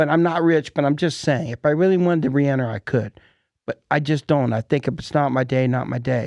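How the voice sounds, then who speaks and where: At a fairly quick pace, a man with a normal speaking voice talks in a fairly high pitch with ordinary pitch variation. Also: dry, close sound with no echo. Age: 60s. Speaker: podcast host. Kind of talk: casual chat. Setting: studio.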